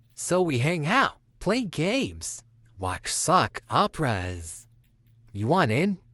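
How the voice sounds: Over a quiet background, a put-on character voice at a middle pitch drawls at a very slow pace with very wide pitch swings.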